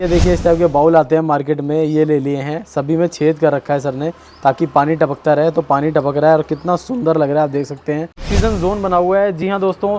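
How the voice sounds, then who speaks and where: Music runs in the background. The speech has hardly any pauses and fairly even intonation. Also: man, fairly high pitch for a man. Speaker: gardening YouTuber, host. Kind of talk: casual talk to camera, garden tour.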